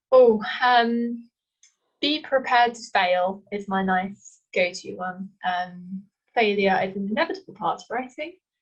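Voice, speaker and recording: Somewhat breathy and fairly slow, a woman with an East Midlands accent speaks at medium pitch with ordinary pitch variation and big swings in loudness. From England, Leicester. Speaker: author. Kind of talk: casual chat.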